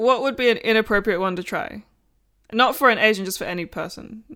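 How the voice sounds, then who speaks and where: A woman speaks very fast in a fairly high pitch. Her tone is bright and sharp, with ordinary pitch variation. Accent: Australian. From Australia. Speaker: podcast co-host. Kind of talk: casual chat. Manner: animated.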